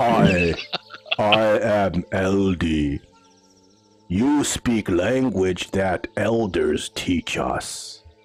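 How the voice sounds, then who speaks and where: Over faint music in the background, a man does a put-on character voice with a fairly low pitch, a very slow pace and long, frequent pauses. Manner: acted, demonic.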